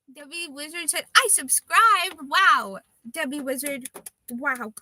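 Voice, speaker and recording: A woman speaks in a raised, projected voice at a fairly slow pace, her pitch swinging very widely. The sound is dry and close with no echo. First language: Russian. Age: 20s. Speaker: livestreamer, tarot card reader. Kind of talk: casual live stream chat. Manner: hesitant, with fillers and restarts.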